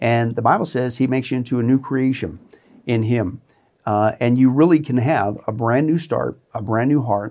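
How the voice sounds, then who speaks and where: On a very clean recording with a silent background, a man talks at a moderate pace. He has an American accent and a medium pitch with ordinary pitch variation. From US Midwest, southeast Kansas. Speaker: pastor. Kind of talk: testimony. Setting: studio.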